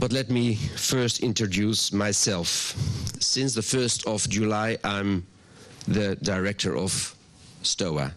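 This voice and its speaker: Speaking very slowly with a Dutch accent, a man keeps his loudness very even and his pitch variation ordinary. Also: fairly low pitch for a man. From Netherlands. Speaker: water agency director. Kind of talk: welcome address. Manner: halting, with ums.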